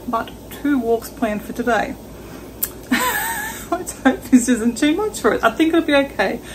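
Noticeable background noise behind a woman's moderately paced speech. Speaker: travel vlogger. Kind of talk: casual vlog chat. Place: kitchen. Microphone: phone near.

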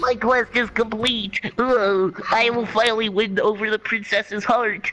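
A man in a put-on character voice projects at a high pitch, raised and fairly slow, with clear background noise behind him. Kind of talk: gamer-style exclamations.

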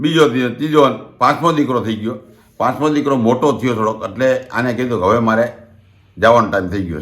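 A man of medium pitch talks in a plain, everyday voice with ordinary pitch variation. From Gujarat, Rajkot district (Saurashtra). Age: 60s. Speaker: community elder and storyteller. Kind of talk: oral history storytelling. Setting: at home.

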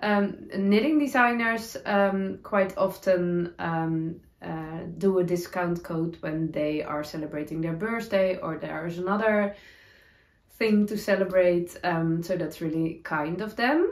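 Speech comes at a fairly slow pace with ordinary pitch variation and audible room echo. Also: woman. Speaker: knitting podcaster. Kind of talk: casual vlog chat. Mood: cheerful, laughing at times. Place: home room.

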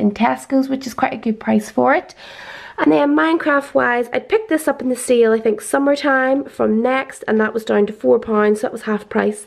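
Lively intonation from a high-pitched woman over a quiet background. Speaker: parent vlogger. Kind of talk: casual vlog chat, product show-and-tell. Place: home room.

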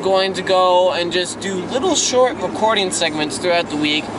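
A man raises and projects his voice in a dry recording with no echo, though noticeable background noise comes through. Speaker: vlogger. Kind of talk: casual vlog chat. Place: car. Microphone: phone near.

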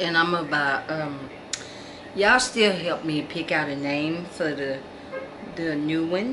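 A woman with a very deep, low pitch speaks with ordinary pitch variation amid noticeable background noise. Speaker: doll collector vlogger. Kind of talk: casual vlog chat. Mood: warm, cheerful sign-off. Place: home room. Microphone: phone near.

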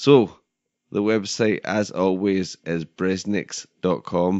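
Using fairly even intonation, a man speaks in a very deep, low pitch. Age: 30s. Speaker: podcast host. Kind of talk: casual chat; scripted narration.

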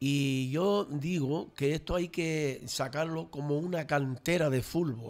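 The man's voice holds a very even loudness, with a fairly high pitch, ordinary pitch variation and a very slow pace. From Canary Islands, Los Realejos (Tenerife); Canary Islands. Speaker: local traditions commentator; radio guest. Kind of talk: casual radio panel chat. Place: studio. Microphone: studio mic.

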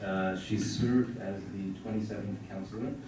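A man speaks in a fairly low pitch with fairly even intonation. Noticeable background noise and audible room echo are present. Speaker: panel chair. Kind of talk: panel moderation. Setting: conference room with audience. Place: classroom.

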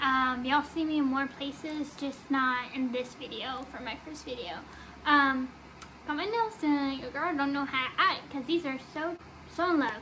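A woman's raised, projected voice, bright and sharp in tone, at a moderate pace with ordinary pitch variation over light background noise. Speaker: vlogger. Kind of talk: casual vlog chat. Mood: excited, a bit shy. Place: home room. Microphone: phone near.

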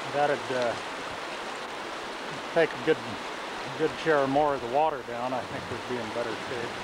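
Over loud background noise, a man speaks at a moderate pace in a dry sound with no echo. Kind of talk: commentary. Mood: concerned, matter-of-fact. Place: waterside. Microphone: old recording.

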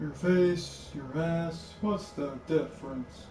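A put-on character voice from a man, fairly high in pitch and very slow, against clear background noise. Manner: gruff, cocky.

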